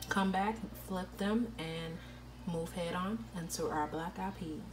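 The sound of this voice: A woman at a fairly slow pace, with clear background noise. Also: fairly low pitch for a woman, ordinary pitch variation.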